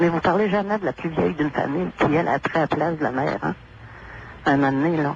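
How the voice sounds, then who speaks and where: Here a woman speaks at a very fast pace in a very deep, low pitch. Her loudness stays very even, with ordinary pitch variation. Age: 60s. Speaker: caller. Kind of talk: call-in radio conversation.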